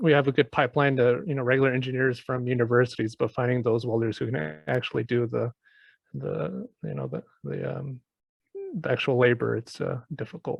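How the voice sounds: A man speaks at a medium pitch with vocal fry. His pace is fairly quick and his pitch variation ordinary.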